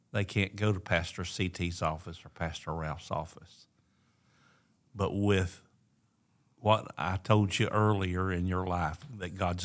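Over a very clean recording with a silent background, a man with a very deep, low voice talks in fairly even intonation, pausing long and often. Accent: Appalachian. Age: 70s. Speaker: pastor. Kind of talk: casual chat. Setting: recorded on site at a church event.

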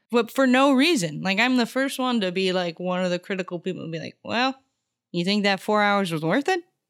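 Talking at a fairly quick pace, a woman with a medium pitch uses lively intonation. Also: very clean recording, silent background. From Arizona (Tucson), early childhood in Houston. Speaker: comedian and artist. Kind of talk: casual interview.

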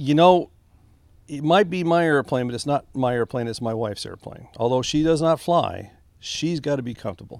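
Speaking fairly quickly with ordinary pitch variation, the voice has an American accent on a very clean recording with a silent background. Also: man. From Texas, Rio Grande Valley. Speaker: retired Air Force officer and airline pilot. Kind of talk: casual interview. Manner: halting.

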